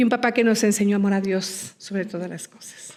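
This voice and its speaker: A woman talks in a monotone, her intonation flat. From Mexico. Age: 60s. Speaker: missionary nun and nurse. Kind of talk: interview.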